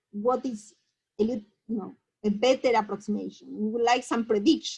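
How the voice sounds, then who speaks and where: A woman's high voice in a Spanish accent. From Argentina. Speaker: mathematician. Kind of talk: lecture. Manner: halting.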